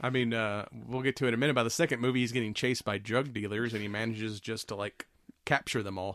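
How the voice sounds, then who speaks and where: A man at medium pitch talks very fast with fairly even intonation. The recording is very clean, dry and close, with a silent background and no echo. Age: 40s. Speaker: podcast host. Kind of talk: casual chat.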